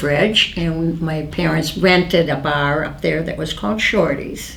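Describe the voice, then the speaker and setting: Amid noticeable background noise and audible room echo, a woman with an American accent speaks in a very deep, low pitch with fairly even intonation. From US Midwest, western Wisconsin. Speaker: oral history interviewee. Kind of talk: oral history interview. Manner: halting.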